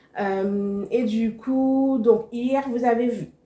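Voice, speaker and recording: A woman speaks in a dark, mellow tone. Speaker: cooking instructor, entrepreneur. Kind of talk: vlog.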